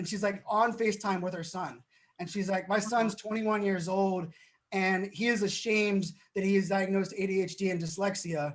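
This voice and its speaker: Here a man speaks at a high pitch in an animated tone. His pace is fairly quick. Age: 40s. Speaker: keynote speaker. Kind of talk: interview. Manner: fast.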